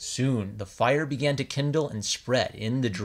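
The voice reads naturally, and its pitch shifts an ordinary amount.

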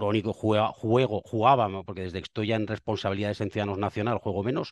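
A man's voice at a very fast pace with fairly even intonation, dry sound with no echo, and a quiet background. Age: 50s. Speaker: politician; politician guest. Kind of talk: interview. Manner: halting. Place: office. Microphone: headset.

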